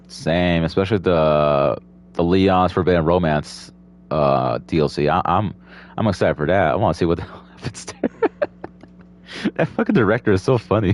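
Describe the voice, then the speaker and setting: With noticeable background noise behind him, a man speaks at a moderate pace in a very deep, low voice with ordinary pitch variation and long, frequent pauses. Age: 20s. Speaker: podcast host. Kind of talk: casual chat. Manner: halting.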